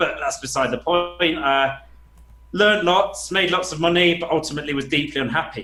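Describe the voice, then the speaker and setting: With a northern English accent, a man speaks at a fairly quick pace in a fairly high pitch with ordinary pitch variation. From England, Nottingham. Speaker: business coach. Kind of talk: podcast interview.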